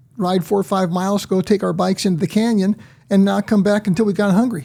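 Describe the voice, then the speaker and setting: A man's high, dark and mellow voice with an American accent, very even loudness, fairly even intonation and a very fast pace. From US West Coast, San Diego, California. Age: 70s. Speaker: retired cabinetmaker and mentor. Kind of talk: podcast interview. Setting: studio.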